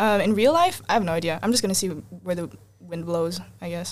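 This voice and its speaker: A woman with an American accent talks at a fairly quick pace with ordinary pitch variation. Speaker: multilingual musician and student. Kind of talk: casual chat.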